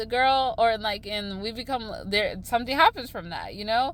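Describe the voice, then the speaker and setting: A fairly quick-paced woman amid noticeable background noise. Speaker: astrology vlogger. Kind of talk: casual vlog monologue. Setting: in a car. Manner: loud; halting, filler-heavy.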